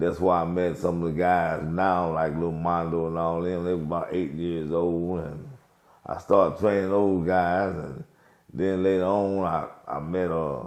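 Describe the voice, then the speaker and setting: An American-accented man with a very deep, low voice speaks at a fairly slow pace with fairly even intonation and audible room echo. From St. Louis, Missouri. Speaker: boxing coach. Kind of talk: interview testimony.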